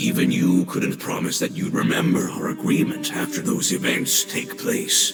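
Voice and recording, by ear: With faint music in the background, a man puts on a character voice at an extremely high pitch, making very wide pitch swings at a moderate pace.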